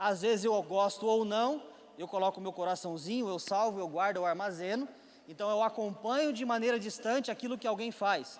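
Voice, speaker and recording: Moderately paced, high male speech with ordinary pitch variation. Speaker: preacher. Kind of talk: sermon. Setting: church with congregation.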